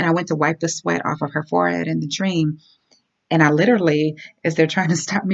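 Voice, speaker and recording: Talking at a very fast pace, a woman uses a very deep, low voice with vocal fry. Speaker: health and transformation coach. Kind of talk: casual talk to camera. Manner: hesitant, stammering.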